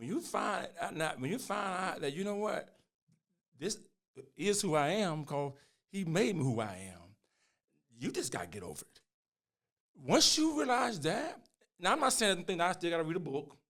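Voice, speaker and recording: A man speaks with high pitch and very wide pitch swings. His loudness swings widely, and he leaves long, frequent pauses. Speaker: pastor and podcast host. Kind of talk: casual chat. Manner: fast; animated.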